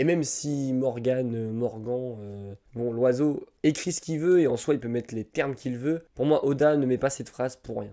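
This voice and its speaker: Dark, mellow male voice with big swings in loudness, ordinary pitch variation and a moderate pace. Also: medium pitch for a man. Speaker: manga and film reviewer. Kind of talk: video review and analysis. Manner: casual with hesitations.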